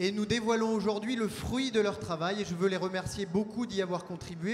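Light background noise sits behind a man's voice. He talks at a moderate pace with fairly even intonation. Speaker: party official hosting the event. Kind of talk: conference opening speech. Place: hall. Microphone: handheld.

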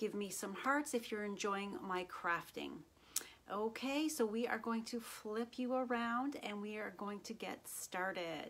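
With ordinary pitch variation, a woman speaks fairly slowly. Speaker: craft demonstrator. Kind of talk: casual live stream chat. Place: home room.

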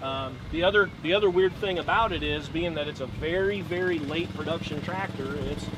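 Noticeable background noise surrounds a man talking at a moderate pace with ordinary pitch variation, the sound dry with no echo. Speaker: tractor owner. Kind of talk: interview answer. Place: open country.

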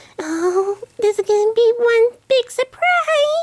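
An excited, cartoonish character voice. It moves at a fairly slow pace. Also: female-sounding voice, extremely high pitch for a woman. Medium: puppet show. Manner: sweet, excited, doting.

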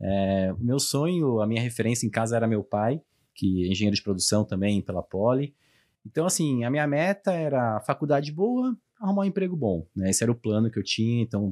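Over a quiet background, a man with a dark, mellow tone and a medium pitch talks at a fairly quick pace, his pitch swinging very widely while his loudness stays very even. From Brazil, São Paulo. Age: 30s. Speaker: logistics director; guest. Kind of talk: interview. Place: studio. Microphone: studio mic.

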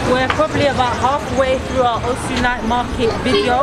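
A woman's voice over crowd noise in the background. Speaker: travel vlogger. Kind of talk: casual vlog chat. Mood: calm and content. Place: street. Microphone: camera far.

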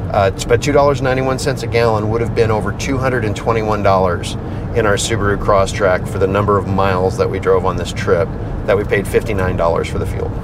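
In a dry sound with no echo, a man rushes along at a very fast pace while noticeable background noise sits behind him. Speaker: vlogger. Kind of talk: casual vlog chat. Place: car. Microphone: lapel.

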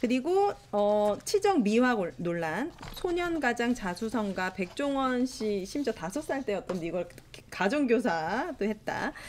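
With noticeable background noise behind her, a woman with a fairly high pitch speaks at a very slow pace, her pitch swinging very widely. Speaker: union leader and show host. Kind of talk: casual talk show discussion. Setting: studio. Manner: animated.

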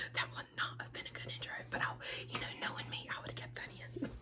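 A woman is whispering. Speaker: ASMR creator. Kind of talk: ASMR snack tasting, soft spoken. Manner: soft-spoken. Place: home room. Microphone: phone near.

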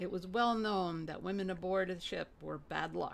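The delivery is an unforced reading voice. It reads through the text.

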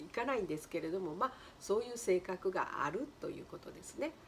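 A woman's fairly low-pitched voice at a fairly quick pace over light background noise. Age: 70s. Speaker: color therapist and flower designer. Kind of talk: casual talk to camera. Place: home room. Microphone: phone near.

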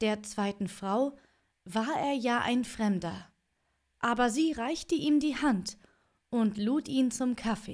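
Against a quiet background, a woman speaks in a calm, soothing tone at a very slow pace, with long, frequent pauses. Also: ordinary pitch variation, very even loudness. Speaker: audiobook reader streamer. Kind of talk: fairy tale audiobook reading. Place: home room. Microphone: studio mic.

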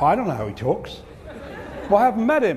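A man with an Australian accent at a fairly quick pace, light background noise behind him. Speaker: keynote speaker. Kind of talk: humorous keynote speech. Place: stage. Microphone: lapel.

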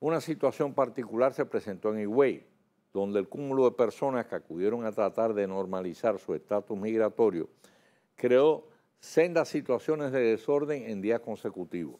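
A man talks in a dark, mellow tone at a medium pitch, with a quiet background behind him. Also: lively intonation, moderate pace. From Dominican Republic. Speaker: TV news debate host. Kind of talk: scripted news commentary. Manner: formal. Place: studio. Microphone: lapel.

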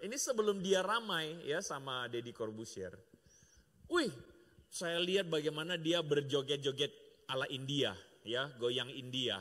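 A fairly high-pitched male voice, animated and bright, sharp in tone, with lively intonation at a fairly slow pace. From Indonesia. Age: middle-aged. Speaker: pastor. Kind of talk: sermon. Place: church. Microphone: handheld.

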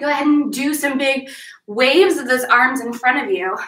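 A woman's raised, projected voice with a bright, sharp tone and audible room echo. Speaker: fitness instructor. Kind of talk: workout instruction. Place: home room. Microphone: camera far.

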